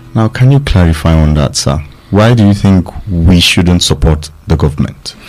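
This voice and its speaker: The intonation is lively and the pace moderate. Loudness stays very even over noticeable background noise. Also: man, very deep, low pitch for a man. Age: young. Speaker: radio panelist. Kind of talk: radio discussion. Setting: studio.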